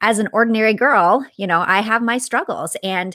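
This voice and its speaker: Heard in a very clean recording with a silent background and a dry, close sound with no echo, a woman uses an ordinary speaking voice at a moderate pace with ordinary pitch variation. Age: 40s. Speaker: author and motivational speaker. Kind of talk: casual interview.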